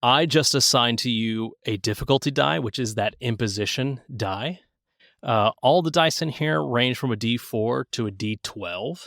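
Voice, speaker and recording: Delivered at a fairly slow pace with lively intonation and a Southern US accent, the voice sits in a dry, close sound with no echo on a very clean recording with a silent background. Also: man, medium pitch for a man. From US Southeast. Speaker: game designer. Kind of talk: tabletop game rules explanation. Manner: hesitant, many filler words.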